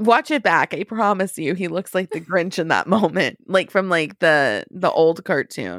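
On a very clean, dry, close recording with a silent background and no echo, a woman speaks at a fairly low pitch with vocal fry. Her intonation is lively, her pace fairly slow, and she leaves hardly any pauses. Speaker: podcast co-host. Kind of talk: casual podcast chat.

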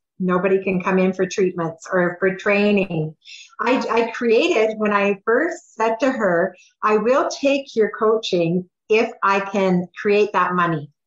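A woman's unremarkable speaking voice, medium in pitch with ordinary pitch variation, at a fairly slow pace and very even loudness. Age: 60s. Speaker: Reiki teacher and healer. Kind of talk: interview, personal story.

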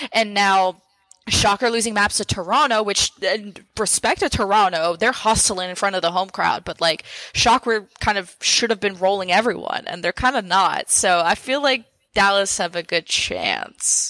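A woman talks at a moderate pace and medium pitch with ordinary pitch variation. Her tone is bright and sharp, with a dry, close sound and no echo. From Montreal, Quebec, Canada. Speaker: esports caster. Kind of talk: casual chat.

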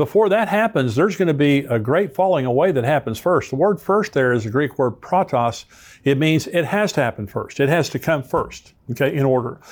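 In a plain, everyday voice, a man speaks fairly quickly at a fairly high pitch with lively intonation and hardly any pauses. The recording is very clean, with a silent background. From United States. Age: 60s. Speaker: pastor and prophecy teacher, podcast host. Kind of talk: Bible teaching with commentary.

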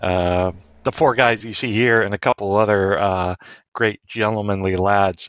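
A man with a normal speaking voice talks at a moderate pace, fairly low in pitch, with ordinary pitch variation. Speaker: Freemason panelist. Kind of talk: casual roundtable discussion.

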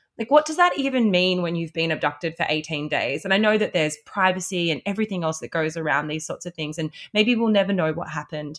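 Talking very fast with hardly any pauses, a woman with a fairly low pitch and an Australian accent uses ordinary pitch variation. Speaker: podcast co-host. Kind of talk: casual chat. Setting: remote recording over video call.

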